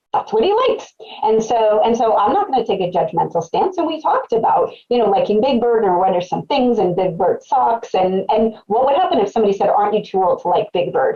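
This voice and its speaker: A woman speaks at a fairly quick pace with very even loudness. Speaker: psychotherapist. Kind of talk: webcast presentation. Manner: fast.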